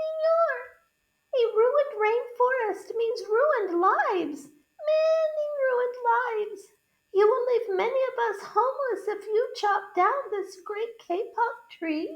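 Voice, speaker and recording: In a put-on, squeaky character voice, a woman speaks at an extremely high pitch and a fairly slow pace. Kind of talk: polite, pleading.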